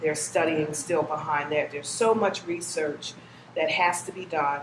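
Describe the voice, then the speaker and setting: A woman with a very deep, low pitch speaks at a moderate pace with fairly even intonation, amid noticeable background noise and audible room echo. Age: 60s. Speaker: cancer survivor. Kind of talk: testimony.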